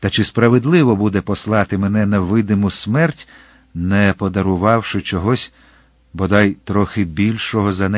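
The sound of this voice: The reading is done in an unforced voice whose intonation remains fairly even.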